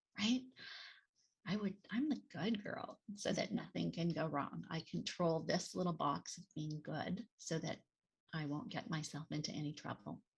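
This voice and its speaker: A woman speaks at a fairly slow pace in a fairly low pitch, with vocal fry and lively intonation. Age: 60s. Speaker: nonprofit executive and author. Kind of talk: interview. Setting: podcast interview. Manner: halting, many fillers.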